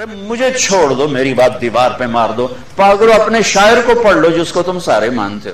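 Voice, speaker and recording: A man's voice swings very widely in pitch while noticeable background noise sounds behind it. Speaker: Islamic preacher. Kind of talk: religious sermon. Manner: emotional, impassioned.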